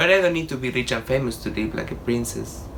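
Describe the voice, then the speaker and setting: Against noticeable background noise and audible room echo, a man with an Argentine accent talks at a fairly quick pace. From Argentina. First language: Spanish. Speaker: artist and drag performer. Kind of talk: documentary interview. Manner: casual.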